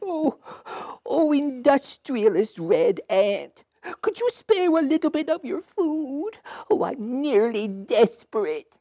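A cartoonish character voice, pitched high and swinging very widely up and down. It moves at a very slow pace. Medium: puppet show. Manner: pleading, plaintive.

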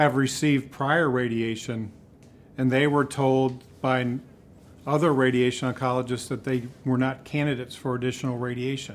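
This man's intonation stays fairly even. He talks at a moderate pace. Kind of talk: interview answer. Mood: calm, explanatory. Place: hall.

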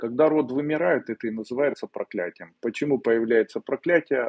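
A man with a medium pitch speaks at a moderate pace in a plain, everyday voice. The background is quiet. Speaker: esoteric teacher answering viewers' questions. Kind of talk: live webinar Q&A, answering questions. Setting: live stream video webinar. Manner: conversational, direct, confident. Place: home room. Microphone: earbuds.

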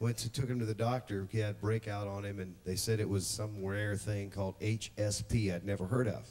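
A plain, everyday voice from a man, fairly low in pitch and fairly even in intonation, comes at a moderate pace over light background noise. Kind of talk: testimony to congregation. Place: church. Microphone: studio mic.

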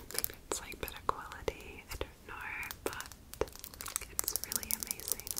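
Her pauses are long and frequent. The woman keeps a moderate pace. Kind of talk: ASMR role play with personal attention. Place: home room. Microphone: studio mic.

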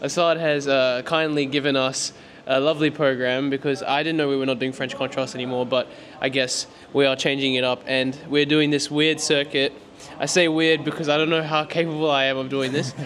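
A man at a fairly quick pace, monotone and flat in intonation, over light background noise. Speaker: vlogger. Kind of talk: casual vlog chat. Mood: joking, playful. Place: gym. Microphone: handheld.

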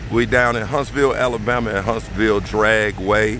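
A man speaks at a fairly low pitch with fairly even intonation. The sound is dry with no echo, though background noise is noticeable. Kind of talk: casual vlog chat. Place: open country. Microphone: phone near.

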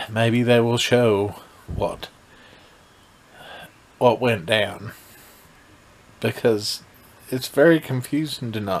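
With long, frequent pauses, a man talks at a very slow pace using ordinary pitch variation. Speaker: vlogger reviewing a TV episode. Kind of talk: casual vlog chat. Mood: mildly critical, unimpressed. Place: home room. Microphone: phone near.

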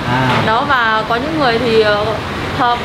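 Loud background noise surrounds a woman speaking with ordinary pitch variation. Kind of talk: interview answer. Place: shop. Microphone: lapel.

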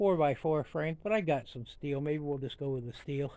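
A man talks at a moderate pace with fairly even intonation. The sound is dry, with no echo. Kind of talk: casual vlog chat. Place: garden. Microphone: phone near.

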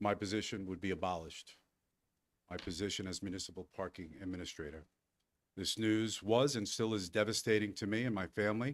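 A man's fairly low voice with ordinary pitch variation at a fairly quick pace, on a very clean recording with a silent background. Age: 60s. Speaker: municipal employee speaking at public comment. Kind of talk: public comment at a board meeting. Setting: village board meeting with audience. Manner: formal.

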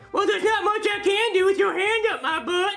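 A man's put-on character voice at an extremely high pitch and a fairly quick pace, over faint music in the background. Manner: cheeky, sarcastic.

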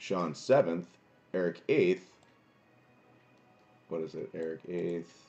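A man speaks at a slow pace. His tone is dark and mellow.

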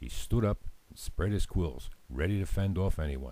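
Here a man talks at a moderate pace with a dark, mellow tone. His intonation is lively. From Africa. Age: old. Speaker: storyteller. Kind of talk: children's story narration.

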